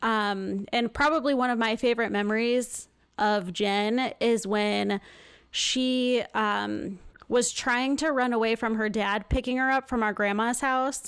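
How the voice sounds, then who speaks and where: A woman with an unremarkable speaking voice talks at a fairly slow pace and a fairly high pitch. Her intonation is fairly even, her loudness very even, and the background quiet. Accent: American. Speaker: nurse, podcast host. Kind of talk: casual chat.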